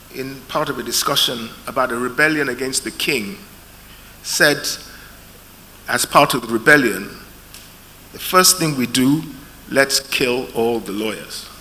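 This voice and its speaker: A man with a medium pitch speaks with long, frequent pauses. Noticeable background noise runs underneath. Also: ordinary pitch variation. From UK. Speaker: lawyer, panel chair. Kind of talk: conference panel talk.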